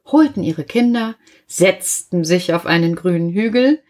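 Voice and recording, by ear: With ordinary pitch variation, someone is reading aloud in a natural voice against a quiet background.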